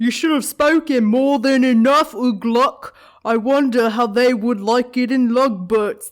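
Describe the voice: A put-on character voice, fairly high-pitched and fairly slow, on a very clean recording with a silent background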